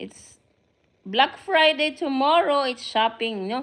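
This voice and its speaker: With a Filipino accent, a woman speaks at a moderate pace. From Philippines. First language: Filipino (Tagalog). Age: 50s. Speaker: vlogger. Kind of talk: casual live stream chat. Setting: live stream to camera. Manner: halting.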